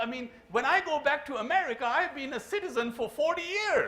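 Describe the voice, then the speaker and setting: A raised, projected, animated voice with ordinary pitch variation, some audible room echo and noticeable background noise. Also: man. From Pakistan. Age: 70s. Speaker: keynote speaker, engineer. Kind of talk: keynote speech. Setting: conference stage with audience. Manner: animated, humorous.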